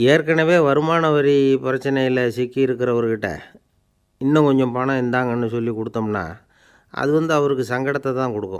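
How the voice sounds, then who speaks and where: Pitched at a medium level, a man with an ordinary speaking voice shows ordinary pitch variation. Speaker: Tamil orator and storyteller. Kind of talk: humorous story-telling talk. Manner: calm, witty, conversational.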